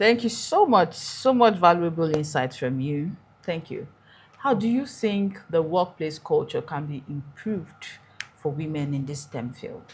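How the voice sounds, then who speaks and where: A woman with a fairly low, somewhat breathy voice speaks at a fairly slow pace. Her pitch swings very widely, and her loudness swings a lot. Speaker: podcast host. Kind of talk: interview.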